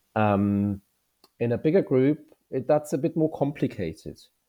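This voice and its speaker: A man is speaking. He has a German accent. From Germany. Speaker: veterinarian and graduate recruitment manager. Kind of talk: interview.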